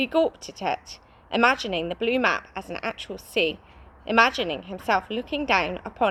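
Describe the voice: Plain reading aloud with lively intonation carries through the clip.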